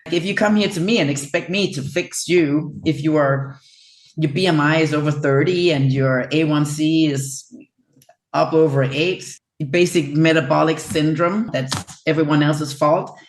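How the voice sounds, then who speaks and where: In a Danish accent, a woman talks with a very deep, low pitch. Her intonation is fairly even and her pace moderate. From Denmark. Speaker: chiropractor. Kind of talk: interview.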